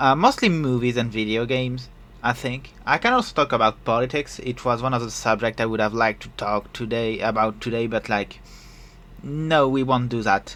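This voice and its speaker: Someone with a French accent talks at a moderate pace with fairly even intonation. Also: man, medium pitch for a man. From France. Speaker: podcast host and streamer. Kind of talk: casual solo podcast talk. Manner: hesitant, many fillers.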